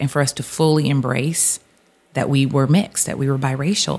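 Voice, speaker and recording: A woman speaks at a fairly quick pace in an American accent. Her pitch is very deep and low, and her intonation stays fairly even. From US Pacific Northwest (Seattle), also Texas and Louisiana. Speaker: author. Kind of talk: interview conversation.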